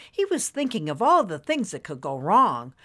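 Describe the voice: Reading aloud, plain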